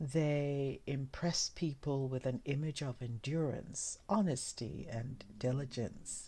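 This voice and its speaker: A woman speaks very slowly with hardly any pauses, her very deep, low voice dark, mellow and somewhat breathy, with ordinary pitch variation on a very clean recording against a silent background. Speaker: ASMR reader. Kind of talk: ASMR soft-spoken reading. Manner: soft-spoken; quiet.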